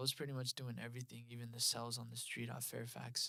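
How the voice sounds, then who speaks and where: A man with a Spanish accent, medium pitch, a bright, sharp tone and a monotone, flat intonation. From Los Angeles area, US. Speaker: creative director and spiritual community leader. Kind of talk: podcast interview, personal story.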